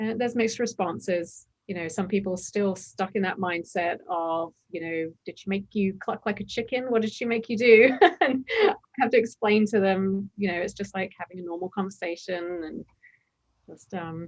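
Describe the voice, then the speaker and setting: A woman speaks at a moderate pace in an American accent. Her pitch is medium and varies in an ordinary way. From England. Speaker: former hypnosis client. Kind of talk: podcast interview. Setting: video call. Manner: crisp enunciation.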